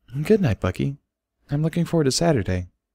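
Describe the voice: A man puts on a husky character voice, fairly high in pitch, racing at a very fast pace through very wide pitch swings, with a dry, close sound and no echo.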